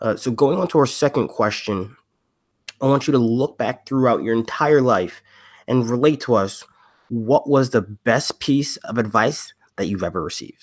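A man with an American accent has an ordinary speaking voice and ordinary pitch variation, captured on a very clean recording with a silent background. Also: medium pitch for a man, moderate pace. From US East Coast. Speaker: podcast co-host. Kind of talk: casual interview.

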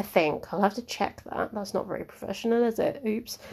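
Recorded very cleanly against a silent background, a woman with a southern English accent speaks at a moderate pace. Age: 20s. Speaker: podcast host. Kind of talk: casual monologue. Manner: hesitant, with many fillers.

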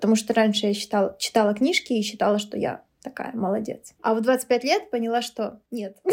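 A woman speaks with a normal speaking voice at a moderate pace. Her pitch is fairly high and her intonation fairly even. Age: 30s. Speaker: teacher. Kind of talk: casual chat. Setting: at home over food and drinks.

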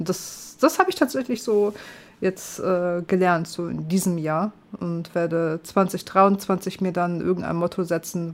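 This woman has an ordinary speaking voice, fairly low in pitch. Her pitch variation is ordinary. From northern Germany. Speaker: gaming streamer. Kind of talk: casual chat.

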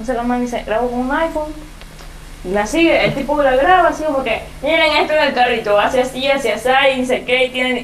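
A woman speaks very fast in a high voice with ordinary pitch variation. Noticeable background noise and audible room echo surround her. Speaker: podcast host. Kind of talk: casual chat.

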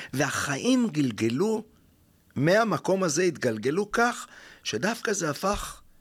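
Very wide pitch swings fill a man's speech at a very slow pace. The recording is very clean, with a silent background. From Israel, Jaffa. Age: 50s. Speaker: spiritual mentor and workshop leader. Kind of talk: interview. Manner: halting, many fillers.

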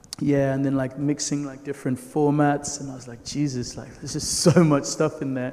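Noticeable background noise sits under speech at a fairly quick pace with hardly any pauses. The intonation is flat and monotone, while the loudness swings a lot. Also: man, fairly high pitch for a man. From Nigeria. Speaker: filmmaker. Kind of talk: panel discussion.

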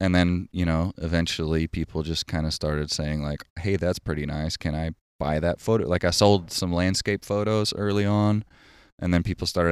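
Very deep, low male voice, fairly quick and fairly even in intonation, in a dry, close sound with no echo. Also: very clean recording, silent background. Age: 30s. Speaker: photographer and writer, former punk singer. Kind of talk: casual chat. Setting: outdoors, backyard.

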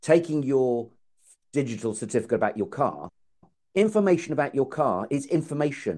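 A man speaks in a fairly high voice with an English accent. His pitch swings very widely against a quiet background. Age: 50s. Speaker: podcast host. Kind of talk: casual chat.

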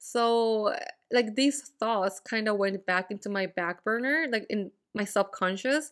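A woman has an ordinary speaking voice, fairly high in pitch with ordinary pitch variation. She talks fairly slowly in a very clean recording with a silent background. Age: 20s. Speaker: podcast host. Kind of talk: casual solo monologue. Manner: casual, frequent fillers and laughs.

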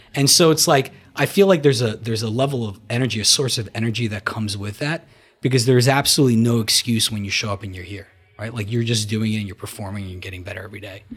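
A man with an American accent at a very fast pace, medium pitch and ordinary pitch variation, music in the background. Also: big swings in loudness. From New Jersey. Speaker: gym member and guest. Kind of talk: casual chat.

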